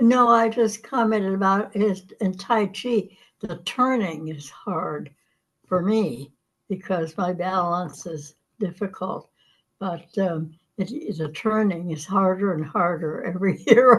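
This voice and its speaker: Speaking at a very slow pace, the woman sounds somewhat breathy, with ordinary pitch variation. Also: medium pitch for a woman. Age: 90s. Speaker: class participant. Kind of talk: casual chat.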